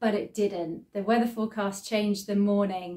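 Over a quiet background, a woman is talking. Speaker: sewing vlogger. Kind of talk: casual vlog chat. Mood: cheerful, relaxed. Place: home room. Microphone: phone near.

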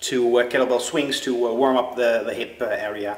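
There is audible room echo around a man speaking with ordinary pitch variation. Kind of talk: casual vlog chat. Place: gym. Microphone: phone near.

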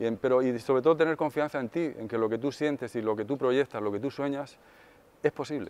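Ordinary pitch variation from a man speaking at a fairly quick pace. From Spain (provinces, outside Madrid). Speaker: session drummer and songwriter. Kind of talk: interview answers; interview answer. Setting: music industry event. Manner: hesitant, with fillers. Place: hall. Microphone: lapel.

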